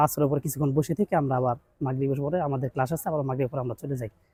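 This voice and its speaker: A man speaks with a fairly high pitch, a dark, mellow tone, and a somewhat breathy quality. His intonation is fairly even, in a dry, close sound with no echo. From Chittagong, Bangladesh. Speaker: madrasa student. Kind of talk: street interview.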